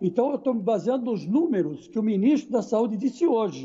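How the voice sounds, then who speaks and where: A man speaks in a high voice at a fairly quick pace. His intonation is lively. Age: 60s. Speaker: sports commentator. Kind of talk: panel discussion.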